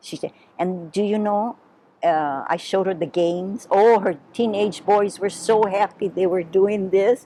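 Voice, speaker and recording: Speaking in a Hawaiian accent, a woman uses medium pitch, a dark, mellow tone, fairly even intonation, and a fairly slow pace. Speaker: Portuguese-American heritage storyteller. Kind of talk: oral history interview. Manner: conversational.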